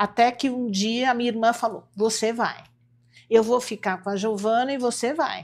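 Her intonation fairly even, a woman talks at a moderate speed. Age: 60s. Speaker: homeopathic doctor; interview guest. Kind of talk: interview. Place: studio.

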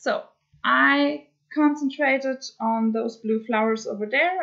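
Fairly high-pitched woman with a German accent, lively intonation and a very slow pace, against a quiet background. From Germany. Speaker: cross-stitch hobby vlogger. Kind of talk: casual craft vlog update. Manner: hesitant, many filler words. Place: home room. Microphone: webcam.

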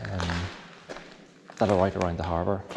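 A man speaks over noticeable background noise. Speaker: tunnel explorer guide. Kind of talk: walking tour commentary. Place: tunnel cave. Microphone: phone near.

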